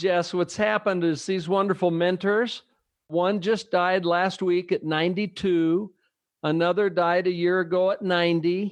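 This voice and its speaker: A high-pitched man's voice at a fairly slow pace, fairly even in intonation and very even in loudness. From US West Coast, San Francisco Bay Area. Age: 60s. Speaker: business leader and leadership trainer. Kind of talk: interview conversation.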